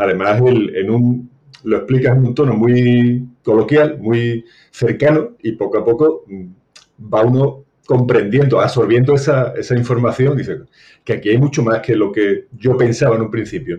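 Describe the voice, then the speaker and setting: A man with an Andalusian accent, a dark, mellow, somewhat breathy tone, fairly even intonation and a fairly slow pace. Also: medium pitch for a man. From Seville, Andalusia, Spain. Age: 60s. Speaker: retired banker. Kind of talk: interview.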